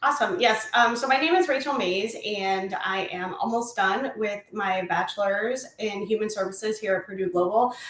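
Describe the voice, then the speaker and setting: A woman with an American accent at a fairly high pitch and a moderate pace, ordinary pitch variation, hardly any pauses, and noticeable background noise. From Indiana, US Midwest. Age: 30s. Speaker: college student. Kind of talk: interview.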